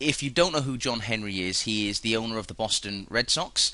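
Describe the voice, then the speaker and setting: A man's medium-pitched voice with a British accent, bright and sharp in tone, lively intonation, a moderate pace and a quiet background. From UK. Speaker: currency trader. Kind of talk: webinar presentation.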